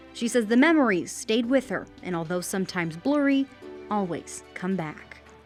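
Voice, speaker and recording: Music plays behind a woman speaking at a medium pitch and moderate pace. Her pitch swings very widely. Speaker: news reporter. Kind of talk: TV news report.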